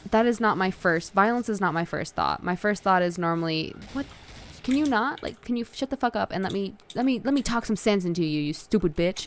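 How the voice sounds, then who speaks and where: A woman with an American accent, fairly quick in pace and lively in intonation. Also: medium pitch for a woman. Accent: Southern, heavier when angry. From US South. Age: 20s. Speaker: video game streamer. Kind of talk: casual chat.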